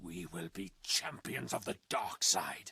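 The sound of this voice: A man puts on a character voice, pitched low, with a husky, rough edge, vocal fry and a bright, sharp tone. His intonation is lively and his pace fairly slow.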